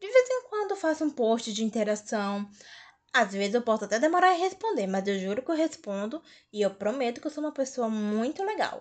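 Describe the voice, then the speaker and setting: Moving at a fairly quick pace, a woman speaks at a high pitch with very wide pitch swings. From Fortaleza, Ceará, Brazil. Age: 20s. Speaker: podcast host. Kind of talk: casual solo podcast introduction.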